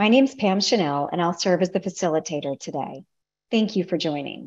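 A woman's fairly low-pitched voice with ordinary pitch variation, over a quiet background. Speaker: meeting facilitator. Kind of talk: formal meeting announcement. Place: home room. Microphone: video call.

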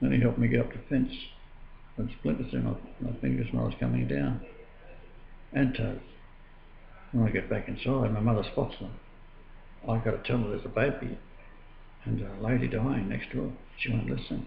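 A man with an Australian accent speaks with long, frequent pauses. Audible room echo and light background noise surround him. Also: moderate pace. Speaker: religious video blogger. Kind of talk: personal testimony monologue. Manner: halting, with frequent filler. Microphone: webcam.

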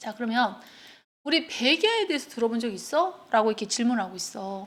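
The speaker's tone is animated, with very wide pitch swings at a moderate pace, on a very clean recording with a silent background. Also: woman. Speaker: English teacher. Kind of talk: lecture. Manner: casual, animated.

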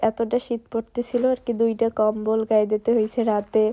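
Against a quiet background, a woman speaks in a dark, mellow tone at a fairly high pitch, her intonation monotone and flat. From Bangladesh, Barisal region (Pirojpur). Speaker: vlogger. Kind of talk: casual vlog narration.

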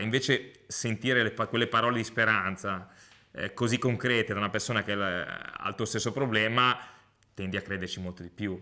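Against a quiet background, a man talks at a fairly quick pace. His pitch is fairly low and his tone bright and sharp. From Liguria, Italy (Lavagna, Genoa); Liguria, Italy. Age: 40s. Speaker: Paralympic handbike athlete. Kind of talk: testimony. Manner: halting, with frequent repetitions and fillers. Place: home room.

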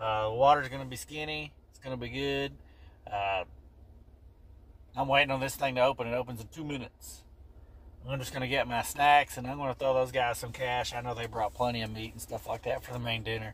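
A man talks at a fairly quick pace with fairly even intonation. The sound is dry, with no echo. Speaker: vlogger. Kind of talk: casual vlog chat. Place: car. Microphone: phone near.

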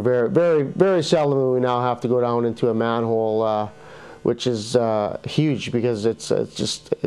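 Faint music plays in the background as a man talks at a moderate pace with ordinary pitch variation. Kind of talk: interview answer. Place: studio. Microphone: lapel.

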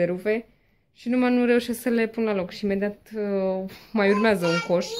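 Light background noise accompanies a woman talking at a moderate pace. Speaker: mother vlogger. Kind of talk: casual vlog chat. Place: home room. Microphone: phone near.

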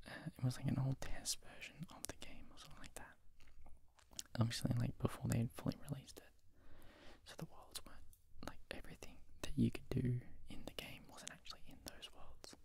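A soft-spoken man's whisper, fairly quick, with big swings in loudness and a dry sound with no echo. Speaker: ASMR creator. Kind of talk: soft-spoken casual storytelling. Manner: soft close-mic whisper. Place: home room. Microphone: handheld.

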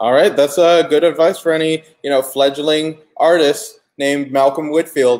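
At a moderate pace, a man talks with a fairly high pitch and ordinary pitch variation. His background is quiet. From US South, Atlanta; US South. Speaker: comic shop host. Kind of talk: casual interview. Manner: animated. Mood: friendly, upbeat, smiling. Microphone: webcam.

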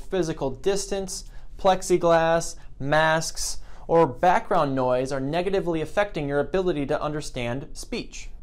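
A man's high voice at a moderate pace, with ordinary pitch variation. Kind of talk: tutorial. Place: office.

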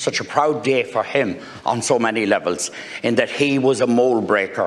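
A man over noticeable background noise. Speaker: senator. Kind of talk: formal parliamentary speech. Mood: warm, congratulatory. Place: hall.

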